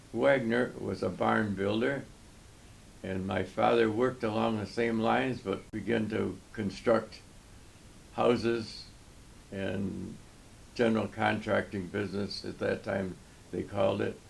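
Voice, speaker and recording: Speaking with an American accent, a man uses a fairly low pitch, vocal fry and fairly even intonation at a fairly slow pace, with long, frequent pauses. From United States, New York. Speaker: war veteran. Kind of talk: interview answer, personal autobiography.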